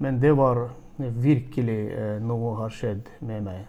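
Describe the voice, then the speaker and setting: A man with a medium-pitched voice talks at a very slow pace, with audible echo from the room. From Turkmenistan. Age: 40s. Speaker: church leader, missionary. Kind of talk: interview. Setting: video call. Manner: halting.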